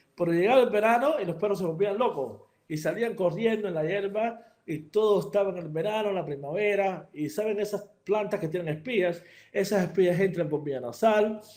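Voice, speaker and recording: High-pitched male voice at a fairly quick pace, with ordinary pitch variation and audible room echo. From Cuba. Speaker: veterinary surgeon. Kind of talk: lecture. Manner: hesitant, many fillers and repetitions.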